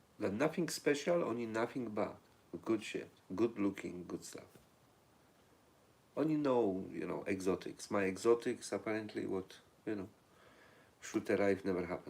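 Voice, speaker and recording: A man with a Polish accent speaks at a moderate pace and a fairly low pitch. Long, frequent pauses break up his speech. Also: lively intonation. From Poland. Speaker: livestream host. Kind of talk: casual live chat reading viewer comments.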